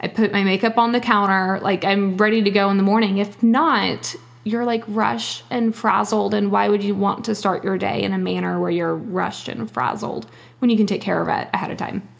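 A woman talks at a fairly quick pace. Noticeable background noise runs underneath. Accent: American. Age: 20s. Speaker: teacher and blogger. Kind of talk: casual chat.

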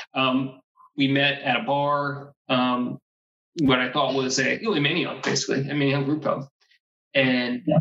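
Speaking at a moderate pace with long, frequent pauses, a man with a fairly high voice keeps his intonation fairly even. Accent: American. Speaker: former high school classmate. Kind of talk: casual chat. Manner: halting, many fillers.

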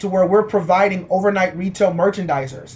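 Speaking with an American accent, a man talks at a fairly quick pace in a high voice with ordinary pitch variation. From Houston, Texas. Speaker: tech entrepreneur. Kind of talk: interview.

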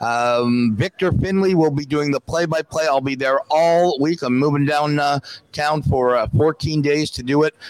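The voice moves at a moderate pace with ordinary pitch variation. There is noticeable background noise, and the sound is dry and close with no echo. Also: man, fairly high pitch for a man. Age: 60s. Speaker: former hockey goalie and coach. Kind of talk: casual chat. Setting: live event at a restaurant.

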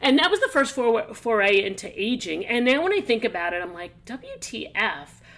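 Over noticeable background noise, a woman talks at a moderate pace with hardly any pauses, using a fairly high pitch with very wide pitch swings and big swings in loudness. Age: 50s. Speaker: podcast host, business and career coach. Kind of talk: casual chat.

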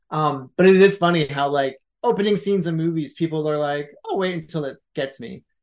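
At a fairly quick pace, a man with an American accent speaks in an unremarkable speaking voice, fairly high in pitch, with ordinary pitch variation and big swings in loudness. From US Northeast, Philadelphia. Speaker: filmmaker. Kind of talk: casual interview.

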